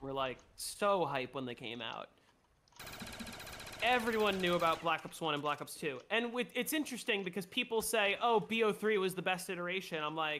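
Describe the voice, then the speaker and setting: A raised, projected voice with very wide pitch swings comes at a moderate pace over noticeable background noise. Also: man, high pitch for a man. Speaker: gaming streamer. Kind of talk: casual chat while gaming. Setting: voice chat on Discord.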